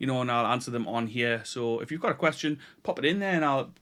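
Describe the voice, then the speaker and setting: Talking at a very fast pace, a man with a northeast English accent has a medium-pitched voice and a bright, sharp tone on a very clean recording with a silent background. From northeast England (Tyneside). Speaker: YouTuber, delivery driver and online retailer. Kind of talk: casual vlog talk to camera. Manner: hesitant, many repetitions.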